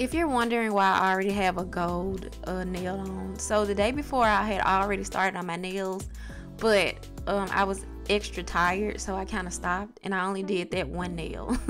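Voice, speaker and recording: Over music in the background, a woman with a Southern US accent speaks at a moderate pace. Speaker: beauty vlogger. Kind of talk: casual talk to camera.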